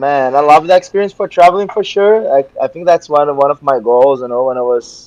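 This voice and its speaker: This man talks very fast with a Portuguese accent. His pitch is fairly high, with ordinary variation. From Brazil, Rio de Janeiro. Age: 20s. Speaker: jiu-jitsu professor. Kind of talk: interview.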